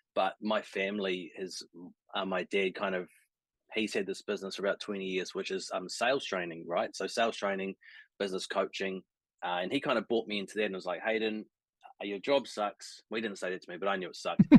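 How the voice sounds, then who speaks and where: A man with a New Zealand accent speaks at a very fast pace with fairly low pitch and fairly even intonation. The sound is dry and close, with no echo and a quiet background. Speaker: sales coach for creatives. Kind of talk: casual interview chat on a live stream. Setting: live stream video call.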